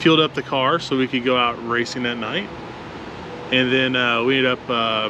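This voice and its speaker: A man with a medium pitch and fairly even intonation speaks at a moderate pace, noticeable background noise behind him. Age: middle-aged. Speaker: drag racer and channel host. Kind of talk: casual chat. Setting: outdoors.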